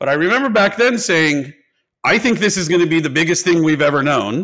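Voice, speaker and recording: With a bright, sharp tone and vocal fry, a man at a fairly high pitch speaks at a fairly quick pace with very wide pitch swings on a very clean recording with a silent background. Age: 40s. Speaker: tech company executive. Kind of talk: interview.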